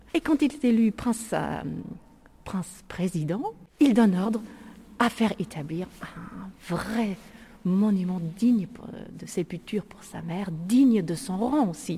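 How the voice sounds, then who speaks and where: Very slow and broken by long, frequent pauses, a woman's medium-pitched voice with a German accent rises and falls in lively intonation and swings widely in loudness over noticeable background noise. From Germany, Lake Constance. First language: German (speaking French). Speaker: tour guide. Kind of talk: guided tour. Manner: halting.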